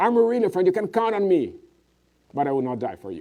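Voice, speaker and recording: With a Portuguese accent, a man speaks in a high pitch and a dark, mellow tone, his pitch swinging very widely. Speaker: preacher. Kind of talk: sermon.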